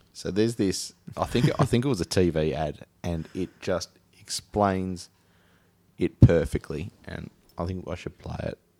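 Speaking with a Tasmanian accent, a man with a very deep, low pitch goes at a fairly slow pace, with ordinary pitch variation and big swings in loudness. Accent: Tasmanian Australian. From Tasmania, Australia. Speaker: podcast host. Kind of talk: casual comedic chat.

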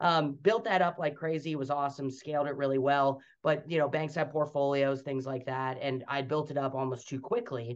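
At a moderate pace, a man speaks with hardly any pauses. He has an unremarkable speaking voice, fairly high in pitch. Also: ordinary pitch variation. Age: young. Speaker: franchise development executive. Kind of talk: interview.

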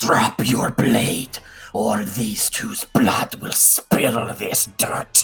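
Using a put-on character voice, a man speaks at a very slow pace and medium pitch, guttural and raspy, with faint music in the background. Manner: menacing, threatening.

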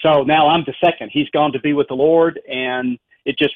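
In a Southern US accent, the speaker keeps a moderate pace and a monotone, flat intonation. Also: man. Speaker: professor of philosophy and apologetics. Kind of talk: interview discussion on philosophy. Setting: radio broadcast.

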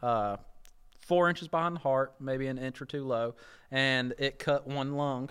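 With an unremarkable speaking voice, a man talks at a moderate pace, keeping a medium pitch and fairly even intonation. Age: 20s. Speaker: YouTuber and hunter. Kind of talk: casual chat.

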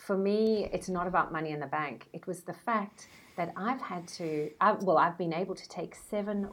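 In a South African accent, a woman speaks at a moderate pace with ordinary pitch variation. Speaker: brand strategist. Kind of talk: interview.

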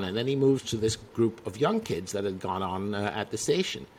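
A man with a Dutch accent talks at a fairly quick pace with ordinary pitch variation over noticeable background noise. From Netherlands, province of Utrecht. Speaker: magazine publisher. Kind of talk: casual chat.

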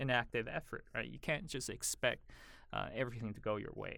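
A man speaks at a moderate pace with an American accent, his pitch medium for a man. It's an unremarkable speaking voice on a very clean recording with a silent background. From Taiwan, raised in the US from age 9. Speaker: educator and lecturer. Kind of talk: podcast interview.

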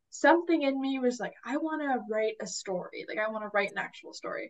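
Using an unremarkable speaking voice, a woman talks at a moderate pace with lively intonation. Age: 20s. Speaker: college student and young writer. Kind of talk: casual interview.

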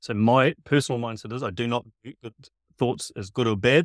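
A New Zealand accent at a moderate pace, with a dry, close sound and no echo. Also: man. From New Zealand, west Auckland. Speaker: performance trainer. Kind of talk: casual interview chat. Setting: video call from a camper van.

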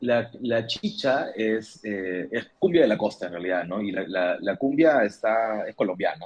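A man's unremarkable speaking voice, medium in pitch, with lively intonation, a fairly slow pace and hardly any pauses. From Peru. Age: 30s. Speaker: musician. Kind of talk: casual interview.

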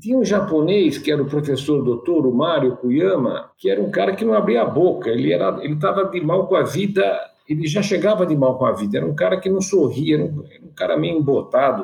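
A man with vocal fry and a fairly high pitch talks at a fairly quick pace with hardly any pauses, lively intonation and big swings in loudness. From São Paulo city, Brazil. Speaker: physician and entrepreneur. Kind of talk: casual interview.

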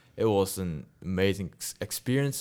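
A man with a non-native accent speaks at a moderate pace with a very deep, low pitch. The recording is very clean, with a silent background. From Malaysia. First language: not English. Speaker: university student and filmmaker. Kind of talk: casual interview.

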